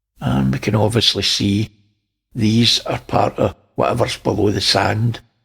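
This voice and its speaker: Speaking with a Scottish accent, a man uses a fairly low pitch, lively intonation and a fairly slow pace. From Scotland. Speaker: space video commentator. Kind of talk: casual video commentary.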